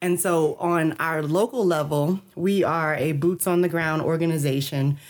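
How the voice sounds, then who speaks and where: A woman with an American accent talks at a fairly low pitch, keeping her intonation fairly even. It is an ordinary speaking voice on a very clean recording with a silent background. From US South, New Orleans, Louisiana. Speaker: mental health nonprofit director. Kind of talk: interview.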